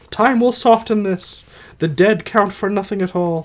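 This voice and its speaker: Putting on a character voice, a man speaks at a high pitch and a moderate pace. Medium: read story. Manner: soft, resigned.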